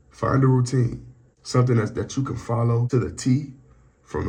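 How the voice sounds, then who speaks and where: A man speaks with vocal fry and a dark, mellow tone. His pace is fairly quick and his pitch medium. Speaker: vlogger. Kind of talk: personal vlog update. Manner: halting.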